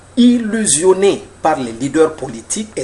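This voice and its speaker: A man speaks at a fairly slow pace with very wide pitch swings. Background noise is noticeable. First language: Mandinka (speaking French). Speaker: author and political commentator. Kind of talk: lecture. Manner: formal.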